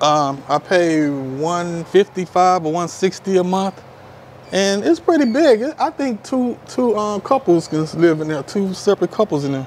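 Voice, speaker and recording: A high-pitched man with an American accent at a fairly slow pace, with light background noise. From Houston, Texas. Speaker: expat subscriber. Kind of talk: casual interview. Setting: at his apartment. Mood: relaxed, friendly. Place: street. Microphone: lapel.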